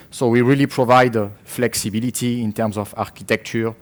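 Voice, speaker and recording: Here a man speaks with a French accent at a fairly quick pace. His intonation stays monotone and flat. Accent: French accent, noticeable. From France. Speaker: tech company marketing manager. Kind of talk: conference presentation. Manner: hesitant, many fillers and repetitions.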